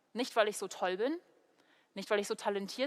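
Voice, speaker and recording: A woman speaks with an English accent. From Germany, Heidelberg. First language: English (speaking German). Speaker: preacher, theology student. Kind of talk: sermon. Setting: church video recording.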